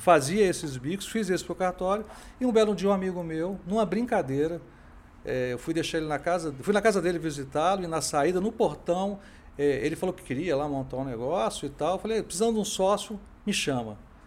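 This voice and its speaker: His intonation is lively and his pace fairly quick. The speaker is a man with a high pitch. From Brasília, Brazil. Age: 50s. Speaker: tech entrepreneur. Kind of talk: interview.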